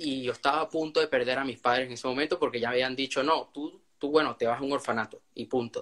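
Hardly pausing, a man talks at a very fast pace with a medium pitch and fairly even intonation. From Venezuela. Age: young. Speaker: young author. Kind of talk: interview.

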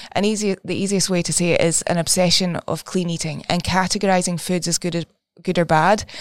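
A woman with a Scottish accent and a fairly low pitch speaks at a moderate pace with fairly even intonation. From Scotland. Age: 20s. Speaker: therapist. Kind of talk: casual chat.

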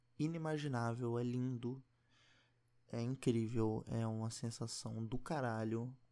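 Soft-spoken and very slow, a man talks at a medium pitch with a dark, mellow tone. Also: very clean recording, silent background. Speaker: podcaster. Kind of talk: casual monologue. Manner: quiet, speaking softly.

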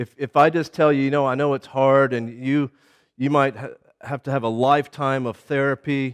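A man at a fairly high pitch and moderate pace, monotone and flat in intonation, with a dry, close sound, no echo and a quiet background. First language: English (speaking Czech). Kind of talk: lecture. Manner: halting.

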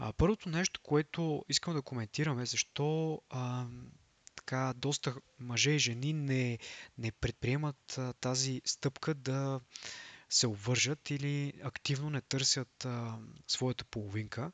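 This man talks very slowly, his medium-pitched voice showing ordinary pitch variation. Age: young. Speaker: podcast host. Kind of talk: solo monologue podcast. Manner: halting, frequent filler sounds.

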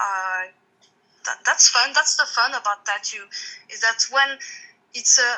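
A woman with a French accent talks fairly slowly in a raised, projected voice with lively intonation. Her pitch is high and her tone bright and sharp. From France. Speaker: tattoo artist. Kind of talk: interview.

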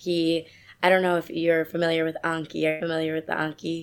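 In an American accent, a woman with a fairly low pitch talks at a very fast pace. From New York City suburbs. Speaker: medical graduate and author. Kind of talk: casual interview.

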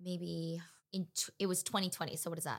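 Here is a woman with a Californian accent. Her voice sits at a medium pitch. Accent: Californian American. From Los Angeles, California. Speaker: actress. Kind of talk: casual chat.

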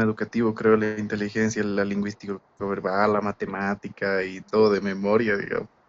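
Fairly quick and fairly low-pitched, this man has a plain, everyday voice. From Bolivia. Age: 20s. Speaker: university student, former exchange student. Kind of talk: casual chat.

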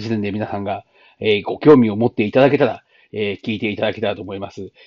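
A man is speaking here. His pitch is fairly low and his pace fairly quick. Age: 40s. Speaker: podcaster. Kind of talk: casual monologue. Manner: halting, many fillers.

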